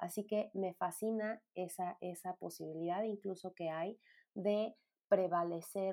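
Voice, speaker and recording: Fairly low in pitch, a woman with a Mexican accent talks at a fairly slow pace with fairly even intonation. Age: 30s. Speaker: podcast host, psychologist. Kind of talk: solo podcast monologue. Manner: hesitant, many fillers.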